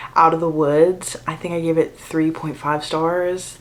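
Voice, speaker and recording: A woman's fairly low voice at a moderate pace, fairly even in intonation, with noticeable background noise. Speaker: book vlogger. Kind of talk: casual vlog. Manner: chatty, informal.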